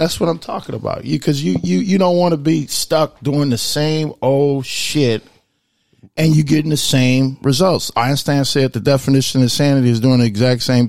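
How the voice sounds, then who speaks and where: At a moderate pace, a man with an ordinary speaking voice talks in an American accent at a fairly high pitch with ordinary pitch variation. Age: 30s. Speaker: podcast co-host. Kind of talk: casual chat.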